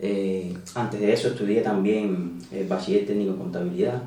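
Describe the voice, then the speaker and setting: Someone with a Cuban accent speaks at a moderate pace with fairly even intonation. Audible room echo and noticeable background noise come through as well. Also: man. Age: 30s. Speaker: emigrant, hydraulic engineer. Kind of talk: interview. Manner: hesitant, many fillers.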